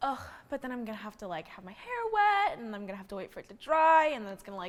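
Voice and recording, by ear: Her woman's voice sits fairly high, moving at a fast pace with big pitch swings.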